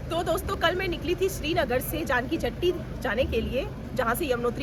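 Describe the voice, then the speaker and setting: Over noticeable background noise and audible room echo, a woman with a high pitch speaks at a moderate pace with lively intonation. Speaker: travel vlogger. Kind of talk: travel vlog narration. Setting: outdoors on pilgrimage route.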